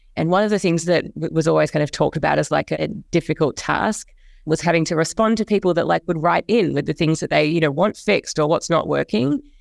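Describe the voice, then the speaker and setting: Over a silent background in a very clean recording, a woman speaks at a very fast pace with a very deep, low pitch, vocal fry, ordinary pitch variation and very even loudness, the sound dry and close with no echo. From Australia and New Zealand. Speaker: education administrator. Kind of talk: interview.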